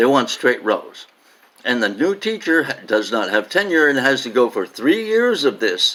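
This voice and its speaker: The man's pitch swings very widely. He keeps a moderate pace. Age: 70s. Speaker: retired teacher and education advisor. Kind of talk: tutorial. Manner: casual with hesitations.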